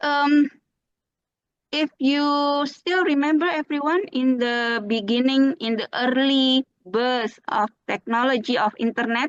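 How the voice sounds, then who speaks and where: With an Indonesian accent, a woman speaks at a very slow pace in a high pitch with ordinary pitch variation, the sound dry and close with no echo. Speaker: speaker at a teachers' webinar. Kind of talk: webinar presentation. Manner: hesitant, many fillers. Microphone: voice muffled by mask but clear.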